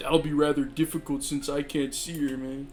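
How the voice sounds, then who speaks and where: Over clear music in the background, a man drawls in a put-on character voice, fairly high and monotone, at a moderate pace. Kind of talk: comic stoner impression. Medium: game stream. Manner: mellow, drawling, ends phrases with "man".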